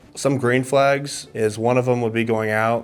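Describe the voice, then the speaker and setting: With noticeable background noise behind him, a man speaks at a moderate pace in a monotone, flat intonation. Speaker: blind date contestant. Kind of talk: casual chat.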